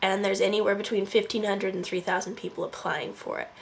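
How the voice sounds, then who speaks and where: A woman talks at a medium pitch with a Californian accent. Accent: Californian American. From Northern California. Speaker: vlogger. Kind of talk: casual vlog narration. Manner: animated.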